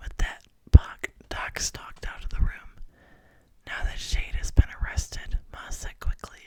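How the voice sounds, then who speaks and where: The speaker is whispering at a moderate pace. The tone is calm. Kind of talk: audiobook-style novel reading. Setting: close microphone recording. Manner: soft-spoken, calm, relaxing.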